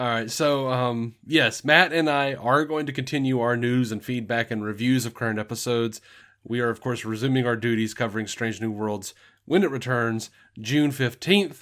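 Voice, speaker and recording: Here is a man with a Southern US accent and a medium pitch. The recording is very clean, with a silent background. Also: ordinary pitch variation, moderate pace. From US South, Alabama. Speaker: podcast host. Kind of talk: casual chat.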